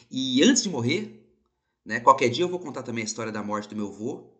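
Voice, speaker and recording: Speaking at a fairly quick pace, this man has a bright, sharp tone. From Brazil, São Paulo. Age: 30s. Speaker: podcast host. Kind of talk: casual monologue. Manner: animated.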